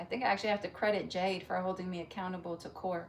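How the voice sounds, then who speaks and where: A woman speaks at a very fast pace against noticeable background noise. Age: 40s. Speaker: fitness livestreamer. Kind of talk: casual live-chat talk. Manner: animated.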